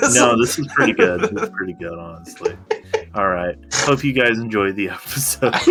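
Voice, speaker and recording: A man speaks quietly at a moderate pace and medium pitch, with lively intonation. Noticeable background noise is present. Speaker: podcast co-host. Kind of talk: casual chat. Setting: at a table, eating while recording. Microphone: recording too quiet, audio mistake.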